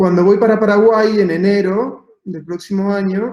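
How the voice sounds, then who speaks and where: This man's voice has a dark, mellow tone and a high pitch. His intonation stays monotone and flat. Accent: Argentine. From Argentina, Patagonia (Santa Cruz). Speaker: architect. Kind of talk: talk presentation. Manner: hesitant, many fillers.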